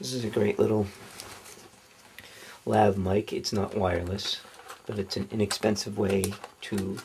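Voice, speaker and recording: Noticeable background noise sits behind a voice that moves at a moderate pace. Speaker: product reviewer. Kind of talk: unboxing commentary. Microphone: camera far.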